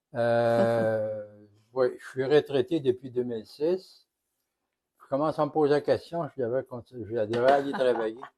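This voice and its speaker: Talking at a fairly slow pace, a man has a medium pitch, ordinary pitch variation and a dark, mellow tone. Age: 70s. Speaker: retired police officer, cooking guest. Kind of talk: casual chat.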